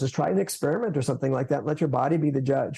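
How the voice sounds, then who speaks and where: With an American accent, a man speaks in a fairly high pitch and a dark, mellow tone. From United States. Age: 60s. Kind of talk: podcast interview. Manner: casual, halting with fillers.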